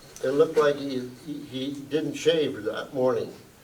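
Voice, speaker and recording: A man with an American accent talks at a fairly slow pace, his fairly high pitch set to fairly even intonation. Audible room echo and noticeable background noise fill the recording. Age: 80s+. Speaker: retired factory worker. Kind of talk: panel discussion. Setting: museum forum with audience.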